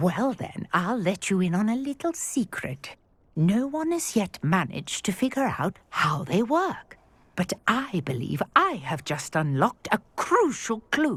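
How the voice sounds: Putting on a character voice, a woman speaks at a fairly slow pace with big pitch swings and a slightly husky edge. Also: medium pitch for a woman.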